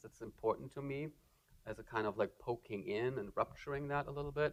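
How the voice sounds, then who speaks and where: This man talks at a fairly quick pace with a German accent. His intonation stays fairly even. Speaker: artist. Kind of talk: lecture Q&A. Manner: halting, many fillers.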